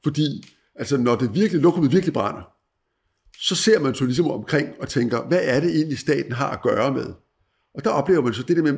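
Somewhat breathy, a man speaks fairly quickly with a fairly high pitch and lively intonation. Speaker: former newspaper editor, commentator. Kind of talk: interview on world affairs. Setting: at guest's country home.

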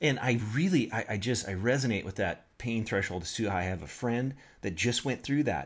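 A man in a plain, everyday voice talks at a moderate pace with ordinary pitch variation on a very clean recording with a silent background. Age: 40s. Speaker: podcast host and pastor. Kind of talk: interview.

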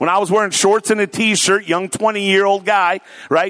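With an American accent, a man talks at a moderate pace with a high pitch. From US Pacific Northwest (Tacoma, Washington). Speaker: pastor. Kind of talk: sermon. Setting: church.

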